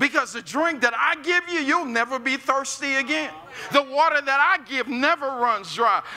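With an American accent, a man uses a raised, projected voice at an extremely high pitch, with ordinary pitch variation, a moderate pace and light background noise. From US Midwest, North St. Louis; Missouri. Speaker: pastor. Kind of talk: sermon. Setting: church with live audience. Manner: animated. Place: church.

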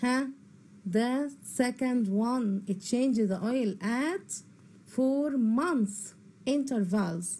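The speaker has an Egyptian accent and a dark, mellow tone, talking at a very slow pace with lively intonation. Loudness stays very even, and there is audible room echo. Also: woman, high pitch for a woman. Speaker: English teacher. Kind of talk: lecture. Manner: repeats each word twice.

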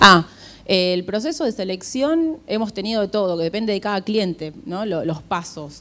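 A woman with an Argentine accent at a moderate pace, with light background noise. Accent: Rioplatense Argentine Spanish. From Argentina. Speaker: HR recruiter. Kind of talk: conference talk. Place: hall. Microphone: handheld.

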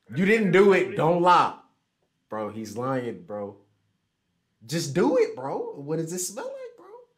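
A man's American accent at a fairly slow pace, with long, frequent pauses, big swings in loudness and light background noise. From Houston, Texas. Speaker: online video chat streamer. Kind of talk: casual chat. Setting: video call. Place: home room.

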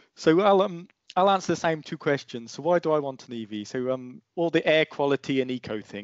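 A man's voice, very fast and lively in intonation, dry with no echo, against a quiet background. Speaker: EV YouTuber. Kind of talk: casual chat. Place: home room. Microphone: headset.

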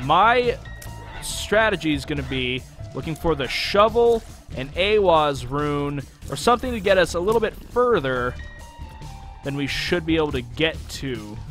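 With music playing in the background, a man speaks at a moderate pace and fairly high pitch, swinging his pitch very widely and taking long, frequent pauses. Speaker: gaming commentator. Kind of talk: let's play commentary.

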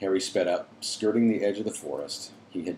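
Simply plain reading aloud

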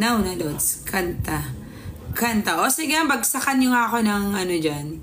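A woman's medium-pitched, animated voice at a fairly slow pace, lively in intonation, over light background noise. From Philippines. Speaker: livestreamer. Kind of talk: casual livestream chat reading comments. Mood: playful, teasing. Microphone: phone near.

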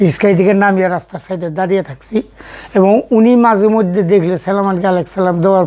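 A man speaks at a high pitch with fairly even intonation. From Bangladesh. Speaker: village elder, former teacher; former teacher. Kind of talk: interview, reminiscing. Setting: at home. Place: home room. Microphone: lapel.

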